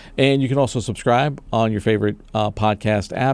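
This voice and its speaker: Speaking at a fairly quick pace with ordinary pitch variation, a man has a plain, everyday voice on a very clean recording with a silent background. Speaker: podcast host. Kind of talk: casual interview chat. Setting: studio in Brooklyn.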